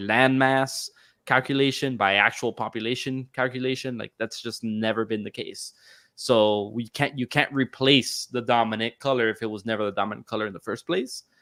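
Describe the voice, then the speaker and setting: This man talks at a fairly quick pace at a medium pitch, the sound dry and close with no echo on a very clean recording over a silent background. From South Florida. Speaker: podcast host. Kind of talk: casual chat. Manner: animated, halting with fillers.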